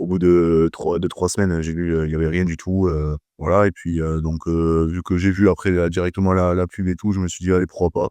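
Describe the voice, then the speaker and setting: A man's very deep, low voice, dark and mellow in tone, with a Toulouse accent, monotone and flat, at a fairly quick pace, in a dry, close sound with no echo over a quiet background. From southern France, Toulouse. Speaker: personal trainer. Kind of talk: testimonial interview. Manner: hesitant, many fillers.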